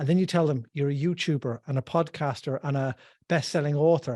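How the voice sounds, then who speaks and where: Speaking at a fairly quick pace in an Irish accent, a man has a dark, mellow tone, a fairly high pitch and fairly even intonation. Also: dry, close sound with no echo, very clean recording, silent background. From west of Ireland. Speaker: financial planner. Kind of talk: casual chat.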